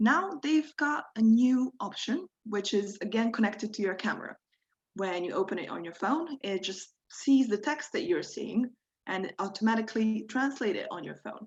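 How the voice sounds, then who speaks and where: With a Croatian accent, a woman talks at a moderate pace in a fairly high pitch, her intonation lively and her loudness swinging widely. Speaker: workshop instructor. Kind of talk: tutorial. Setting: video call.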